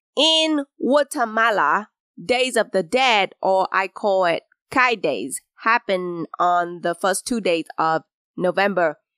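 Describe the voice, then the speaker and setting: In a Vietnamese accent, a woman at a medium pitch talks very slowly, her pitch swinging very widely and her loudness very even. Her tone is bright and sharp, and the sound is dry and close with no echo. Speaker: podcast host. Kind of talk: solo storytelling monologue.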